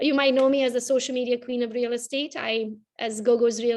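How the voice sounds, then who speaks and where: In a Romanian accent, a woman speaks at a very fast pace with fairly high pitch and fairly even intonation. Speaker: realtor and social media coach. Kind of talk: interview.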